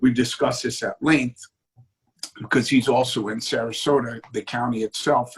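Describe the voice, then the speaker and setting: A man speaks at a medium pitch and moderate pace, somewhat breathy, with fairly even intonation. The sound is dry and close, with no echo. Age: 60s. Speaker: city commission candidate. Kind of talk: political interview.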